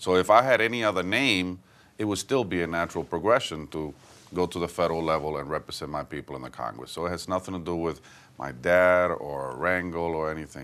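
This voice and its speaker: Speaking at a very fast pace with a Puerto Rican accent, a man uses a very deep, low pitch and ordinary pitch variation. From Puerto Rico, Santurce. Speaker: politician. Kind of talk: interview.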